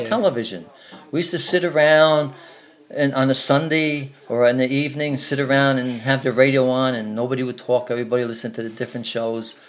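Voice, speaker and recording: A man talks at a very fast pace in a medium pitch. Noticeable background noise sits behind him. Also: ordinary pitch variation. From Newark, New Jersey. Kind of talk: interview answer. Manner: casual, hesitant.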